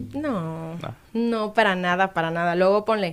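This woman has an ordinary speaking voice, talking at a moderate pace with ordinary pitch variation. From Mexico, Veracruz (Boca del Río). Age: 20s. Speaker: radio presenter. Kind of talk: casual chat.

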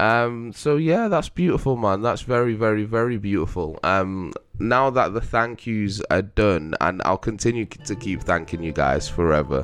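Music plays in the background as a man talks with lively intonation and hardly any pauses. His pitch is fairly low. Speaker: podcast host. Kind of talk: casual solo monologue. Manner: slow.

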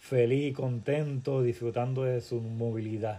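Intonation stays fairly even in a dark, mellow tone. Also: man. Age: 40s. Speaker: fitness coach. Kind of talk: podcast monologue.

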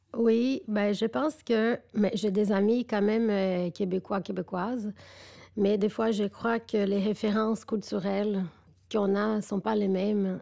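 In a Brazilian accent, a woman speaks at a very slow pace with a medium pitch, a dark, mellow tone, fairly even intonation and very even loudness, on a very clean recording with a silent background. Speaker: filmmaker. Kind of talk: interview discussion.

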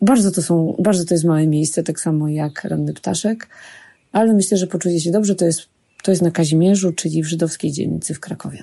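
A dark, mellow tone delivered at a very fast pace. The intonation stays fairly even over a quiet background. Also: woman, fairly low pitch for a woman. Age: 50s. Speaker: chef and restaurant owner. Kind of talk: casual interview. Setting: outdoors in a forest.

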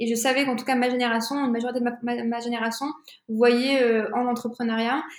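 The woman's pitch is high. Her intonation stays monotone and flat. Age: 20s. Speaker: entrepreneur. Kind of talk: casual interview. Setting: remote recording.

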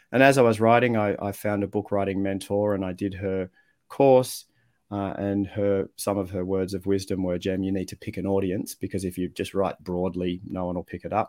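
A man speaks with an Australian accent at a fairly low pitch and a moderate pace. His intonation stays fairly even over a quiet background. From Australia (Victoria). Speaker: communication coach and writer. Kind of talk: casual interview chat.

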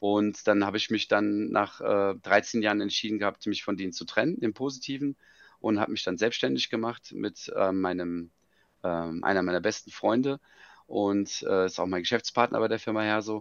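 It is a plain, everyday voice. The pace is moderate, with ordinary pitch variation. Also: man, fairly low pitch for a man. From Germany, Frankfurt. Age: 40s. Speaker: business founder. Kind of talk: interview.

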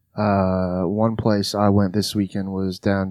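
A man with a Southern US accent talks at a very slow pace in a fairly low pitch, his intonation monotone and flat. The sound is dry and close with no echo, over a quiet background. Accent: Southern US, picked up. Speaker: podcast host. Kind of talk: casual chat. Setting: studio.

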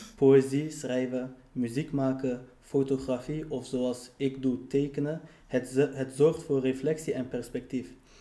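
Dark and mellow in tone, the voice stays monotone and flat in its intonation. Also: man. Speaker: podcast co-host. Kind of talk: casual chat.

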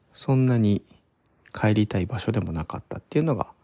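The voice has a dark, mellow tone, somewhat breathy, with lively intonation. The sound is dry and close, with no echo. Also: man. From Kanagawa, Odawara. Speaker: podcaster. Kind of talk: solo casual monologue. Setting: parents' home. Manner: relaxed, hesitant with fillers.

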